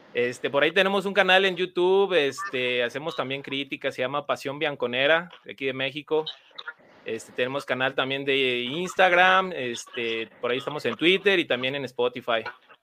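A man's ordinary speaking voice, fairly high in pitch, at a moderate pace with ordinary pitch variation. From Mexico. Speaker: guest fan, youtuber. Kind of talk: casual chat.

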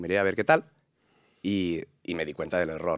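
A man talks at a fairly slow pace. The recording is very clean, and the background is silent. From Catalonia, Spain (Sant Boi de Llobregat). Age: 20s. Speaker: actor and content creator. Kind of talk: interview.

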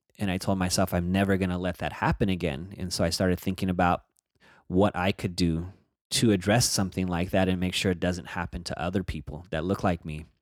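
In a monotone, flat delivery, a man with an American accent speaks at a very deep, low pitch. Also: very clean recording, silent background. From Northern California (Bay Area). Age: 40s. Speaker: activist and criminal justice advocate. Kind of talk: podcast interview.

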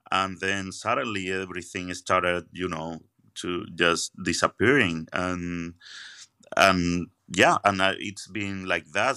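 A bright, sharp voice moves at a very slow pace in a very clean recording with a silent background. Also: man. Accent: Andalusian. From Spain, Seville. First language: Spanish. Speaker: magician. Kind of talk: interview conversation. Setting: at a magic venue after a show. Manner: halting, repeats words.

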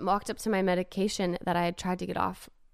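A woman talks at a fairly quick pace in a fairly low voice with an American accent and flat, monotone intonation. The recording is very clean, with a silent background. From US West Coast (Los Angeles). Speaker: singer. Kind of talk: testimony.

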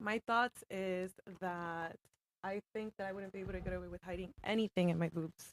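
In a plain, everyday voice, a woman speaks at a medium pitch and a moderate pace with fairly even intonation, the sound dry and close with no echo. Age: 20s. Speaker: medical office administrator. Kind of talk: casual chat.

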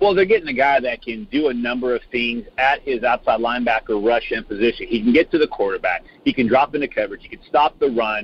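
Hardly pausing at all, a man races through his words at a very fast pace. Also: medium pitch for a man, lively intonation. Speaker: football recruiting analyst. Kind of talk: casual interview chat.

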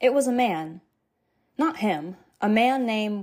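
On a very clean recording with a silent background, a woman with an unremarkable speaking voice talks at a fairly high pitch with lively intonation. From New Hampshire, US. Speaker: true crime podcaster. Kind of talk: scripted narration. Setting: home office.

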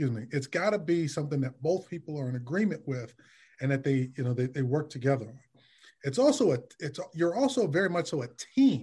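With an American accent, a man speaks very fast in a fairly high, somewhat breathy voice of dark, mellow tone against a quiet background. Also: ordinary pitch variation. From Detroit, US Midwest. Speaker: licensed therapist. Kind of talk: casual interview.

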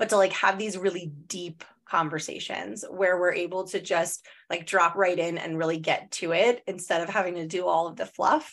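This woman has an unremarkable speaking voice with a fairly low pitch. She keeps a moderate pace and fairly even intonation. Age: 30s. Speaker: podcast host, therapist and spiritual mentor. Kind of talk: casual chat.

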